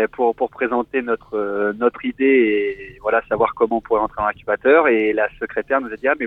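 Speaking at a fairly quick pace, a man leaves hardly any pauses. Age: 20s. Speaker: caller, corporate employee. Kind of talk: casual chat.

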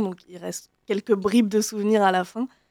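Speaking at a moderate pace, a woman has a dark, mellow tone, medium pitch and monotone, flat intonation. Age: 20s. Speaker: genealogy volunteer and YouTuber. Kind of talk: radio interview.

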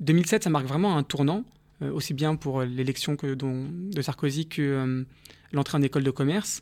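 Over a very clean recording with a silent background, a man with an ordinary speaking voice talks at a moderate pace with ordinary pitch variation. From Paris, France. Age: 30s. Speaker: entrepreneur and social justice activist. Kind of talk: radio interview. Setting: studio.

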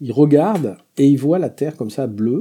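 Medium in pitch and dark, mellow in tone, a man's voice carries lively intonation. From Béarn, southwest France. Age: 60s. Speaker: journalist and AI specialist. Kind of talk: radio interview. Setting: studio in total darkness.

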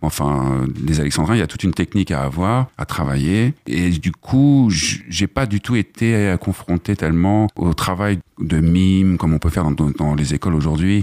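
Speaking at a fairly slow pace, a man with a dark, mellow tone and ordinary pitch variation comes through in a dry, close sound with no echo. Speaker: trainee, former actor. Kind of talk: radio interview. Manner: slightly hesitant.

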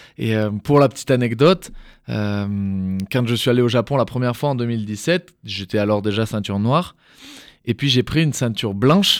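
The voice belongs to a man and is an unremarkable speaking voice. His pitch is mid-range, his speed moderate, and his pitch varies in an ordinary way. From southeastern France (Drôme). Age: 20s. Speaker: judoka. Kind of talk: interview. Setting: studio.

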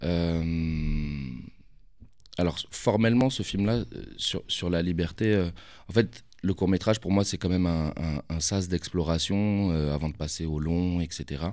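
A man's very deep, low voice at a very slow pace, with ordinary pitch variation, on a very clean recording with a silent background. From Paris, Belleville. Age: 30s. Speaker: film director. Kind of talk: interview. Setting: studio.

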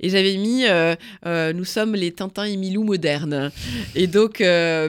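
A woman's fairly low voice at a fairly slow pace, with ordinary pitch variation, on a very clean recording with a silent background. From northern France, Picardy. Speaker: veterinarian and journalist. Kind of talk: interview testimony. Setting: studio.

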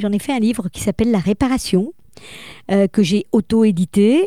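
Dark, mellow tone from a woman with a fairly high pitch. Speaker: voice coach and speaker. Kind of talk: interview. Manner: animated.

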